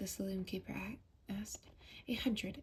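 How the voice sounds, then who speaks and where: Soft-spoken and somewhat breathy, a woman with a dark, mellow tone talks at a moderate pace. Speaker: ASMR creator. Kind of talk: ASMR audiobook reading.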